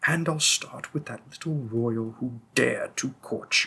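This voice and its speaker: Using a put-on character voice, the man pitches himself fairly high. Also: moderate pace. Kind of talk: audio roleplay. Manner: cold, mocking, threatening.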